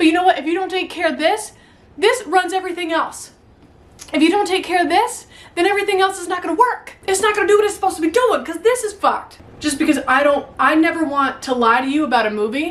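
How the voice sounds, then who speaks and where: Extremely high in pitch, a woman's animated voice races at a very fast pace with very wide pitch swings. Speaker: YouTuber. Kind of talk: motivational talk to camera. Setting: home attic. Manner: stutters at times.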